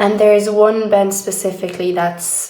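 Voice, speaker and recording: Audible room echo surrounds a woman speaking at medium pitch in a monotone, flat intonation. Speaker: video diarist. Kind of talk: personal video diary.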